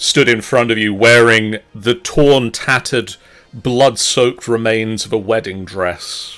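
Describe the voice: The delivery is plain reading aloud with fairly even intonation.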